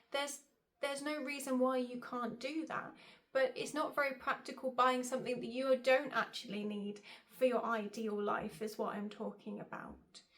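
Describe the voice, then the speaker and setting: A woman with a British accent talks at a moderate pace in a high voice with fairly even intonation. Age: 30s. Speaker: style coach and vlogger. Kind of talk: casual vlog talk to camera.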